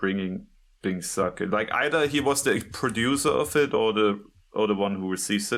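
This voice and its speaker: Fairly low-pitched, fairly slow male speech with a non-native accent and ordinary pitch variation, on a very clean recording with a silent background. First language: not English. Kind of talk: casual chat.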